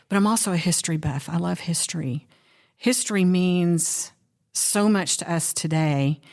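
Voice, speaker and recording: A woman uses a plain, everyday voice at a fairly low pitch with ordinary pitch variation. Her pace is moderate, and the recording is very clean with a silent background. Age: 60s. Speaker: law enforcement educator, budgeting course teacher. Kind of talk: casual chat. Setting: podcast interview.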